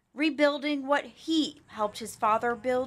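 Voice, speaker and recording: Noticeable background noise sits behind the speaker. A woman talks with ordinary pitch variation. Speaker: TV news reporter. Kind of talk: TV news report.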